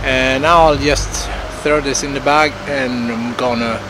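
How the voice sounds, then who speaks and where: The recording has a dry sound with no echo and noticeable background noise. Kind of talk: casual vlog chat. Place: waterside.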